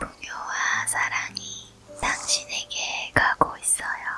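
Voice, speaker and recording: A woman whispering at a very slow pace. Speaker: ASMR meditation guide. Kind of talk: guided sleep meditation with affirmations. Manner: whispered; slow, soothing. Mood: calm, soothing, reassuring.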